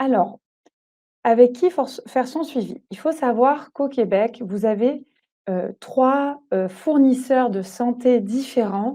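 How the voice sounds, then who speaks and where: Speaking at a very slow pace, a woman has a fairly high pitch, a dark, mellow tone and ordinary pitch variation. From France. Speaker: doula. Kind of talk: webinar presentation. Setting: online webinar. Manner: hesitant, many fillers.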